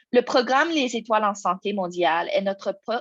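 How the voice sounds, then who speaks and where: A non-native accent at a moderate pace against a quiet background. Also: woman. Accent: non-native French speaker, out of practice. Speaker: program officer presenting an information session. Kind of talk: webinar presentation. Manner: halting, many hesitations and restarts.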